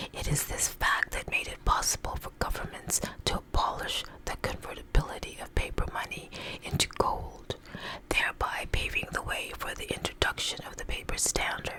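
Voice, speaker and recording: A woman whispering at a moderate pace, with big swings in loudness, over noticeable background noise. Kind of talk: ASMR article reading. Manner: whispered.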